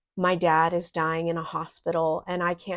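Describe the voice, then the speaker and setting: Against a quiet background, a woman speaks slowly in a fairly low, monotone voice at a fairly slow pace. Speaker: podcast host. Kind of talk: personal testimony. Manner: emotional, vulnerable.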